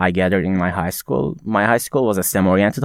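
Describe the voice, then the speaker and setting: A man is heard in a very clean, dry, close recording with no echo and a silent background. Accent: Turkish. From Turkey (Konya). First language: Turkish. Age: young. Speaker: university student. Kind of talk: casual chat. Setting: studio.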